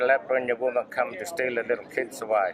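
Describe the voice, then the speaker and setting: There is noticeable background noise behind this man. He talks at a moderate pace in a medium pitch. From Central Australia, Alice Springs. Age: 50s. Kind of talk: storytelling and advocacy talk.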